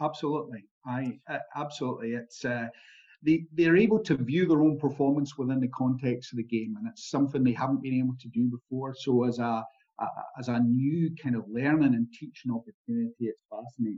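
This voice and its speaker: Speaking with a Scottish accent at a fairly quick pace, a man uses a medium pitch with ordinary pitch variation. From Scotland. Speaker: performance analyst. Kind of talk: interview.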